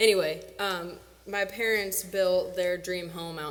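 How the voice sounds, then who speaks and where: In an American accent, a woman speaks at a medium pitch with fairly even intonation, and audible room echo surrounds her voice. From Illinois, small town south of Springfield. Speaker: singer-songwriter performer. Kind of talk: stage banter between songs. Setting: stage with audience.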